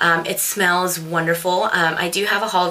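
A woman speaks at a moderate pace with a fairly low pitch. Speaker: beauty vlogger. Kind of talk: casual product review chat. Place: home room. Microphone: webcam.

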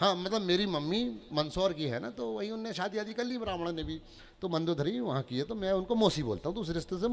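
A man with a high pitch, lively intonation and a fairly quick pace. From Chhindwara district, Madhya Pradesh, India; Madhya Pradesh, India. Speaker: comedic poet. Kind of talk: stand-up comedy poetry performance. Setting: stage with audience. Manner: animated. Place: stage. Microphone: handheld.

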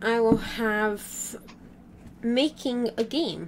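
A woman's fairly high voice comes through against noticeable background noise. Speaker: gaming YouTuber. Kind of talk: casual gaming chat.

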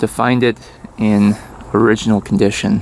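Light background noise lies behind a man who is speaking. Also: dry sound with no echo. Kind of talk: casual vlog chat. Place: open country. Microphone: phone near.

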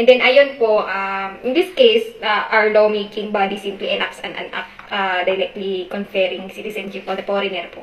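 A woman speaks with hardly any pauses and fairly even intonation, with audible room echo around her voice. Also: moderate pace. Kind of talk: acted phone call, customer service talk. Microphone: headset.

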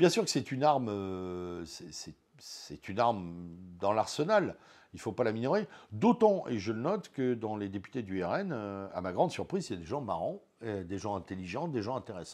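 A man's fairly low voice at a moderate pace, lively in intonation, over a quiet background. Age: 50s. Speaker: teacher and web radio founder; teacher, radio founder. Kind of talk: interview. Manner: hesitant, many filler sounds. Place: home room. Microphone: lapel.

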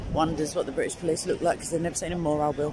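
Noticeable background noise sits under a dry sound that has no echo. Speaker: livestreamer. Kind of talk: casual live commentary. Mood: jovial, chatty. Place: street. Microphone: phone near.

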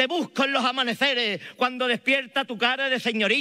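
Speaking in an Andalusian accent, a man projects a raised voice at an extremely high pitch with a bright, sharp tone, at a moderate pace against a quiet background. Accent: Andalusian Spanish (Malaga). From Málaga, Spain. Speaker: Holy Week proclamation speaker. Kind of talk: solemn poetic oration, rhetorical spoken-word pregón with lyrical imagery. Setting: stage with audience. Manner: rhetorical, measured; emotive, fervent, declamatory. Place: stage. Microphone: podium.

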